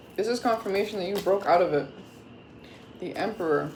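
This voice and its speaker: Against noticeable background noise, a woman with an American accent speaks at a fairly quick pace with lively intonation. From Florida, US, Caribbean background. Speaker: tarot reader. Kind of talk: tarot reading. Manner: casual, chatty.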